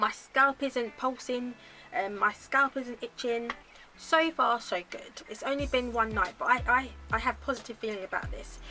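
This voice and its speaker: With music in the background, a woman speaks at a moderate pace in a high-pitched voice with ordinary pitch variation. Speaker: lifestyle vlogger. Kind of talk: casual chat. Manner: halting.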